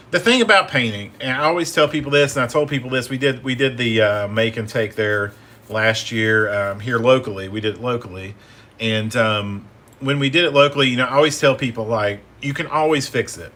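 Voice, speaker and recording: At a fairly quick pace, a man talks at medium pitch with ordinary pitch variation and a bright, sharp tone. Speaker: painting instructor. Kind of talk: live painting tutorial. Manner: casual, many fillers and repeats.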